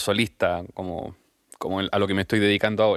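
A man with a Chilean accent talks at a fairly quick pace and a fairly low pitch. The recording is very clean, with a silent background and a dry, close sound with no echo. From Chile, Temuco. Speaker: musician. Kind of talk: interview.

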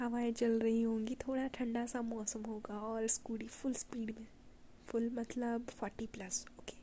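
A woman speaks with a fairly high pitch and monotone, flat intonation. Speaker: solo podcaster. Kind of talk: personal monologue. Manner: soft-spoken.

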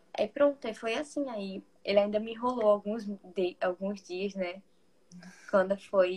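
A woman talks in a plain, everyday voice at medium pitch with ordinary pitch variation. Her loudness swings widely. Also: fairly slow pace. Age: 20s. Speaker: psychology student. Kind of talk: casual chat.

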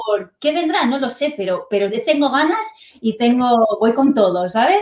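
At a fairly slow pace, a woman speaks in a high voice with lively intonation. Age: 30s. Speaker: online business entrepreneur, former dental clinic salesperson. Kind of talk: interview.

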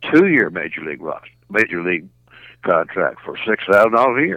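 A man with a Southern US accent speaks with lively intonation in a bright, sharp tone. The sound is dry and close, with no echo. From Arkansas, Little Rock. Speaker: retired baseball player. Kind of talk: interview. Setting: phone call. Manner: halting.

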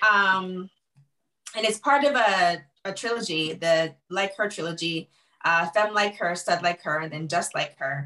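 A woman speaks at a fairly slow pace with a fairly low pitch and ordinary pitch variation. Her tone is bright and sharp. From Jamaica. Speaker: novelist. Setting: video call.

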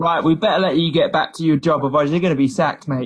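A man talking at a very fast pace, somewhat breathy, with ordinary pitch variation. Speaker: podcast co-host. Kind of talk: casual interview chat.

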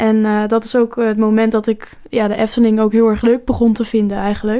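A woman talks at a moderate pace in a fairly high pitch. Her intonation is monotone and flat. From Netherlands, near Rotterdam. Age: 20s. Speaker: podcast co-host. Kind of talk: casual chat.

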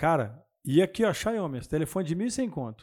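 Lively intonation carries a dark, mellow tone. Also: man. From Mato Grosso do Sul, Brazil. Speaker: real estate agent. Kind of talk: casual chat.

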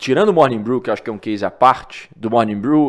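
This man has an unremarkable speaking voice, medium in pitch with ordinary variation, on a very clean recording with a silent background. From Minas Gerais, Brazil (Divinópolis). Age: 20s. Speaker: newsletter founder. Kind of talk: interview conversation.

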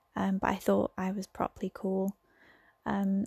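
A somewhat breathy woman's voice in an English accent, medium in pitch with a dark, mellow tone, at a fairly slow pace, in a dry, close sound with no echo. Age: 20s. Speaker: podcaster. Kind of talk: casual monologue. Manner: hesitant, many fillers.

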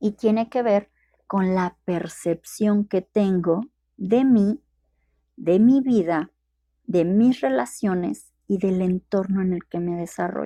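A woman at medium pitch speaks at a very slow pace in a dark, mellow tone, recorded dry and close with no echo. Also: ordinary pitch variation. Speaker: podcast host and coach. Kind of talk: live-streamed talk. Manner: hesitant, with repeated words.

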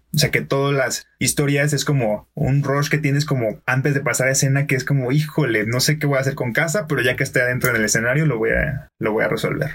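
With a Mexican accent and fairly high pitch, a man speaks at a very fast pace with hardly any pauses, fairly even intonation and very even loudness. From Mexico, Colima. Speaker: podcaster and improv performer. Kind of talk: casual chat. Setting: studio.

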